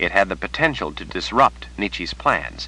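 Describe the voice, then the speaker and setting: A man speaks at a moderate pace in a bright, sharp tone. Vocal fry runs through his voice. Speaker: audiobook narrator. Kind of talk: audiobook narration.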